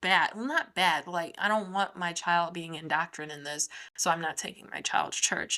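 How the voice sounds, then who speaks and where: Animated and bright with a sharp tone, a woman talks fairly quickly at a fairly low pitch. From US Midwest, Chicago. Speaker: podcast host. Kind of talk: casual solo commentary. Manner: fast.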